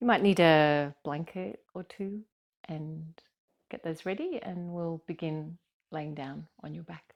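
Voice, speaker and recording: A woman with an Australian accent speaks very slowly in a fairly low pitch, with ordinary pitch variation and big swings in loudness. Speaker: yoga teacher. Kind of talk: guided yoga class instruction. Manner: gentle, kind.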